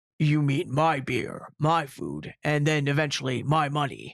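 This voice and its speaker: At a moderate pace, a man speaks in a put-on character voice with a fairly high pitch. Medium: read story. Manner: hearty.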